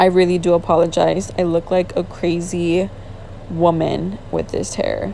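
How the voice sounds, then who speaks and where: A woman talks fairly slowly, with noticeable noise behind her. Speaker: beauty vlogger. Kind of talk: tutorial. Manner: casual, chatty.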